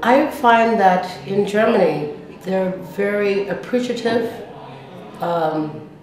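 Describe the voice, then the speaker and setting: A woman speaks at a very slow pace, with light background noise and audible room echo. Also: ordinary pitch variation. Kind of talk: interview answer. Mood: warm, appreciative. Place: home room.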